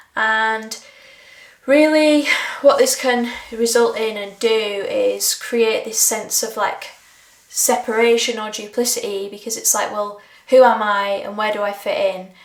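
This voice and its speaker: The pace is fairly slow. Noticeable background noise and audible room echo surround the voice. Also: woman, fairly high pitch for a woman. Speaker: creativity coach. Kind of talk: reflective monologue. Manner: hesitant, many fillers.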